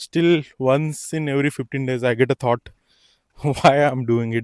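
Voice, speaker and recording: Speaking in an Indian accent, a man uses a medium pitch and fairly even intonation. His pace is fairly slow, and the sound is dry and close with no echo. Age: 20s. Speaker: farmer. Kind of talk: casual talk to camera. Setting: outdoors.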